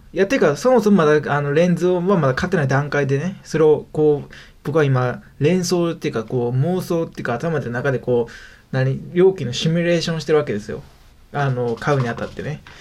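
The voice has a Kansai accent. It moves at a fairly quick pace. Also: man, fairly high pitch for a man, ordinary pitch variation. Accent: Kansai Japanese. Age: 20s. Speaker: web freelancer, podcast host. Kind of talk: solo casual talk radio. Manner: rambling with many fillers.

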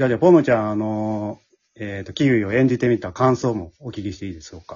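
Fast-paced speech from a man, fairly low in pitch, slightly mellow in tone, with a slightly husky edge. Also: ordinary pitch variation.

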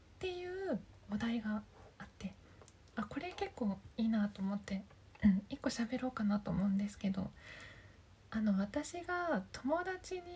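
Very wide pitch swings run through a woman's fairly high voice as she speaks at a fairly slow pace with long, frequent pauses. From Japan, Aichi Prefecture. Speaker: voice coach and podcast host. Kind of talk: casual solo talk. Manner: halting, stumbling over words.

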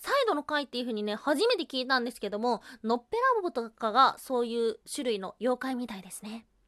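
In a raised, projected voice, a woman talks at a fairly quick pace with a high pitch and very wide pitch swings. The sound is dry and close, with no echo. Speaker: solo podcast host. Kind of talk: casual solo talk on folklore. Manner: casual, laughs often.

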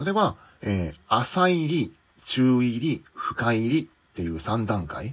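A man's medium-pitched voice at a very slow pace, with very wide pitch swings. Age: 40s. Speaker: office worker and aspiring manga artist. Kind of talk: solo podcast monologue.

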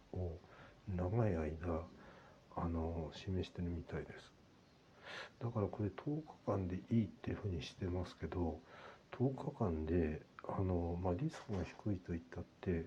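Somewhat breathy, a man with a very deep, low pitch speaks with long, frequent pauses. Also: ordinary pitch variation, moderate pace. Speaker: podcaster. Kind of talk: personal update monologue. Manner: halting with many fillers.

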